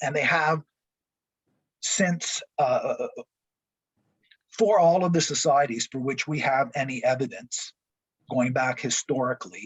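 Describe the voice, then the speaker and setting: Somewhat breathy and fairly high in pitch, a man talks with ordinary pitch variation. He goes at a fairly slow pace with long, frequent pauses. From Quebec, Montreal. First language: French. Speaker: college professor. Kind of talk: lecture.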